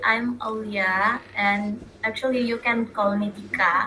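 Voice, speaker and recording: A woman with a non-native accent speaks very slowly at a fairly high pitch, with noticeable background noise behind her. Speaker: podcast co-host. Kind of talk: casual chat. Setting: video call. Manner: halting.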